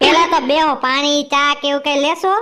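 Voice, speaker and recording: A woman's cartoonish character voice, high-pitched and monotone with flat intonation, at a moderate pace. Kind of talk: comic overacting. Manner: loud, bantering.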